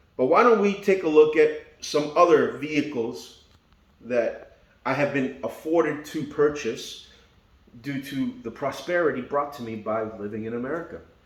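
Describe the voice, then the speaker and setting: A man with a fairly high pitch and lively intonation speaks at a fairly slow pace. Noticeable background noise and audible room echo fill the recording. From Argentina, Buenos Aires. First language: Spanish. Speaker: car YouTuber. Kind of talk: casual vlog walkaround. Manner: casual, joking.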